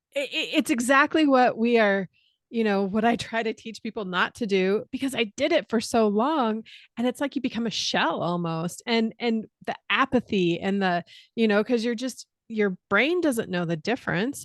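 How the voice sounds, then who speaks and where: In an ordinary speaking voice with a General American accent, a woman talks at a moderate pace and a fairly high pitch with lively intonation, over a quiet background in a dry, close sound with no echo. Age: 40s. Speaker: musician and reinvention coach. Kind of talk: casual podcast conversation.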